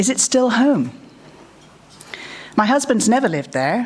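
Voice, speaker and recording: A woman with a British accent speaks at a moderate pace with very wide pitch swings. Noticeable background noise is present. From England. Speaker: conference speaker. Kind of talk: conference talk.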